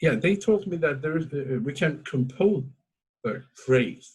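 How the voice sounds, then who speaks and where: With an Azerbaijani accent, this somewhat breathy voice moves at a fairly slow pace with lively intonation. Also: man. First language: Azeri. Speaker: talk show host. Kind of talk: interview. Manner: halting.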